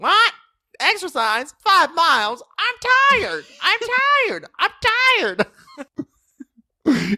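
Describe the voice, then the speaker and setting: A put-on character voice, female-sounding and whiny, at an extremely high pitch with very wide pitch swings and a very slow pace. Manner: whiny, exaggerated, complaining.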